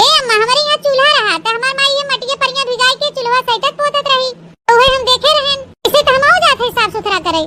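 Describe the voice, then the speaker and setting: A woman's cartoonish character voice, extremely high-pitched with ordinary pitch variation, very even in loudness and fairly quick in pace. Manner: simple, earnest.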